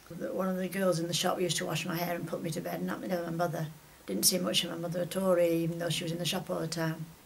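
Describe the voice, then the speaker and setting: Speaking at a very fast pace, a woman uses a fairly low pitch. Noticeable background noise and audible room echo fill the recording. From northern England, Whitefield near Manchester. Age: 80s+. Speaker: retired shopkeeper. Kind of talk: oral history interview. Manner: halting, many fillers.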